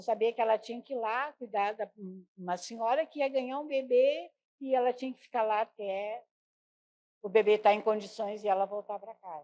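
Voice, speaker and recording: This woman has a fairly high voice with a dark, mellow tone and ordinary pitch variation, and her loudness swings widely. She speaks at a moderate pace, and the sound is dry and close with no echo. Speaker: midwife's child, interviewee. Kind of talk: oral history interview.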